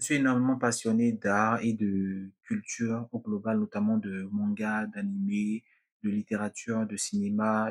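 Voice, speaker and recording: With flat, monotone intonation, a man talks at a fairly slow pace. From Benin. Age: 20s. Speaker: podcaster. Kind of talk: podcast monologue.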